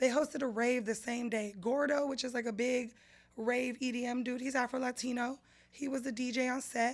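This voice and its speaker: Animated, high-pitched speech from a woman at a fairly quick pace. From San Jose, California (east side). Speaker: podcast co-host. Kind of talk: casual chat.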